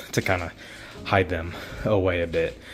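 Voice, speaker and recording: A man with a very deep, low pitch. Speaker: vlogger. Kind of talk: casual vlog. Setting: new apartment. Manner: halting.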